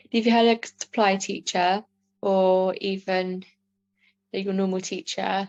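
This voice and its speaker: With a southern English accent, a woman talks at a very slow pace in a medium pitch. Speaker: customer assistant who stammers. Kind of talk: personal testimony. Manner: stammering; halting with many fillers.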